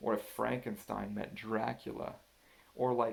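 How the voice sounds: It is a natural reading voice with fairly even intonation.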